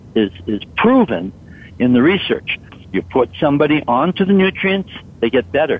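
A man talks at a moderate pace in a fairly high pitch, his voice making very wide pitch swings. Noticeable background noise sits behind him. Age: 60s. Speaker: supplement company co-founder. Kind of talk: radio interview.

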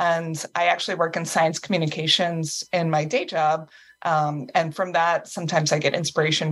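A woman with an American accent speaks at a moderate pace, her pitch fairly low. She has an unremarkable speaking voice. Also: very clean recording, silent background. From US East Coast. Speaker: author. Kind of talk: casual chat.

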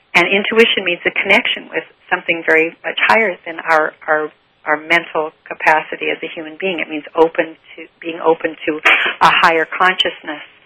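A woman's fairly low, fairly quick delivery in a normal speaking voice, with fairly even intonation and big swings in loudness. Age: 60s. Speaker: author on relationships and spirituality. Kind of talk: interview.

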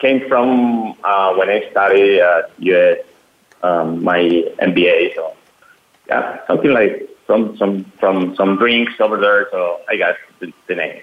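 A man with a Spanish accent, at a very slow pace. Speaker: company CEO. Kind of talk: casual chat. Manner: halting.

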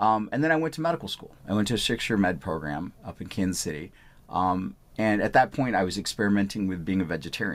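A man races along at a very fast pace. His fairly low voice moves in very wide pitch swings. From India, Punjab; moved to US at nine. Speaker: physician. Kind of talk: interview. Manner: repeats words, false starts.

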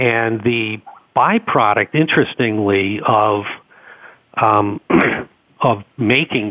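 A man with a Boston accent speaks at a fairly low pitch with fairly even intonation. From Boston, US Northeast. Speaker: company co-founder. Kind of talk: radio interview. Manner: hesitant, filler-heavy.

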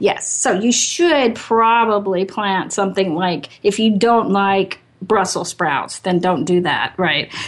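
Speaking at a very slow pace, a woman keeps her loudness very even and shows ordinary pitch variation. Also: medium pitch for a woman, hardly any pauses. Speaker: radio host. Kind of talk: casual radio interview.

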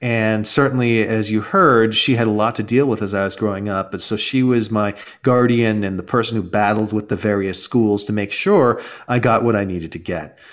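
This man has an American accent and a normal speaking voice, pitched fairly low. His intonation is fairly even and his pace moderate. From Southern California, Los Angeles. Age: 40s. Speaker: startup investor and author. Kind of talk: interview.

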